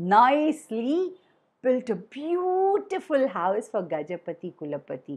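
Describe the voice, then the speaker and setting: In a quiet background, a woman speaks in a high, sing-song voice at a very slow pace with very wide pitch swings. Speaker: storyteller. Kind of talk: children's storytelling session. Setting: online video call. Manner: singsong.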